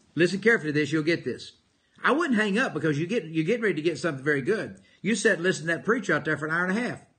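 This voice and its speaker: Here a man speaks at a very fast pace with a high pitch and lively intonation. His tone is bright and sharp, and the background is quiet. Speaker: motivational speaker and preacher. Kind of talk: live motivational broadcast.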